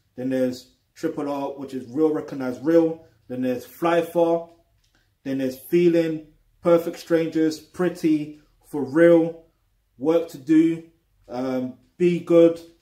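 In a room with audible echo but a quiet background, a man with a dark, mellow tone speaks at a fairly slow pace with fairly even intonation and long, frequent pauses. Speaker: music reviewer. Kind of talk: album review commentary. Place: home room. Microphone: webcam.

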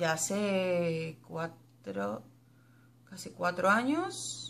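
A woman speaks in a bright, sharp tone. Her pitch swings very widely. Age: 30s. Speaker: YouTuber. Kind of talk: casual Q&A tag video. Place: home room. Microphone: webcam.

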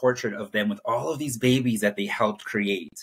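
A man with fairly even intonation against a quiet background. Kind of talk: interview answer. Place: home room. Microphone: webcam.

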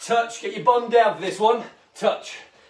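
A man with a high voice talks amid audible room echo. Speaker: fitness instructor. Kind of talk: workout instruction. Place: home room. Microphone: camera far.

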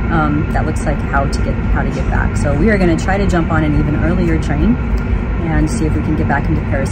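Music is playing in the background. A woman speaks over it at a very fast pace. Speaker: travel vlogger. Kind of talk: casual vlog chat. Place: train. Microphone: phone near.

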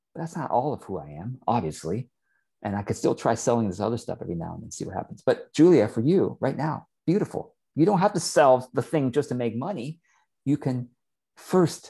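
A man with a dark, mellow tone and vocal fry talks at a fairly quick pace against a quiet background. His pitch swings very widely and his loudness varies a lot. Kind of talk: mentoring advice on a call. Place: home room. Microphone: earbuds.

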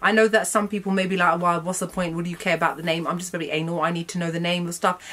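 A woman speaks with a fairly low pitch and fairly even intonation. It is an unremarkable speaking voice. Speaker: beauty vlogger. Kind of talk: product review vlog. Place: garage.

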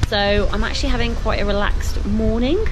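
Music plays in the background as a woman speaks. She talks at a fairly quick pace with ordinary pitch variation. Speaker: long-distance hiker vlogger. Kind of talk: casual vlog chat. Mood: relaxed, chatty. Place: shop. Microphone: phone near.

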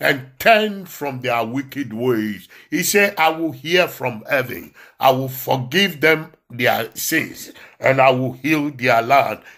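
Very slowly, a man speaks at a medium pitch with a bright, sharp tone. The recording is very clean, with a silent background. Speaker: minister leading prayer. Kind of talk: fervent prayer. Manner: fervent, exhortative.

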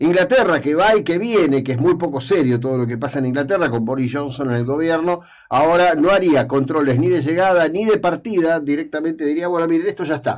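Fairly quick, nearly pauseless speech in an Argentine accent, with ordinary pitch variation and a quiet background. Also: man, fairly high pitch for a man. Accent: Rioplatense Argentine Spanish. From Argentina. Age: old. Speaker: radio host and journalist; radio host, journalist. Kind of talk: radio opinion column. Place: studio. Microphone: studio mic.

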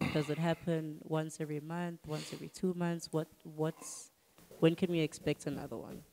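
A woman with a South African accent speaks at a very deep, low pitch and a moderate pace, her tone dark and mellow. Her intonation is monotone and flat, with light background noise. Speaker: podcast host. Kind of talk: casual interview. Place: studio. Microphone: handheld.

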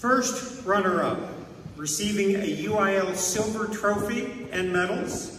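A man's high-pitched, fairly bright voice at a slow pace, ordinary pitch variation, strong room echo and faint crowd noise in the background

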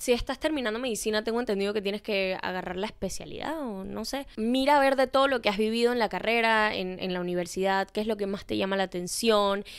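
Against a quiet background, a woman talks at a very fast pace with hardly any pauses, an animated tone, ordinary pitch variation and a fairly high pitch. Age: 20s. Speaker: podcast host; podcast host giving advice. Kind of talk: casual chat. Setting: bedroom. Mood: expressive, animated, empathetic. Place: home room. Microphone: handheld.

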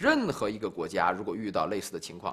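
With a quiet background, a man talks at a fairly quick pace. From China. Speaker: policy expert. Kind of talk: interview. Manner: formal. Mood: firm, formal, measured. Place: studio.

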